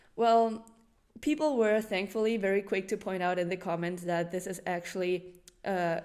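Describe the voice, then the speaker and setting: A woman talks at a moderate pace with a non-native accent. Her voice sits at a medium pitch. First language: not English. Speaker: animal channel presenter. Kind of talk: educational presentation.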